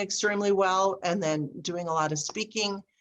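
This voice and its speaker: At a moderate pace, a woman speaks. She has a plain, everyday voice. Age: 60s. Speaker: speaker and business coach. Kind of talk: casual interview chat.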